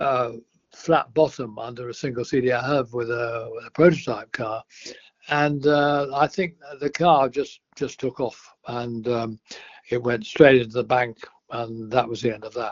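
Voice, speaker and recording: The speaker has an English accent. The intonation stays fairly even. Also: man, medium pitch for a man, fairly slow pace. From England. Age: 80s+. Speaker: retired racing driver. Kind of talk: podcast interview answer.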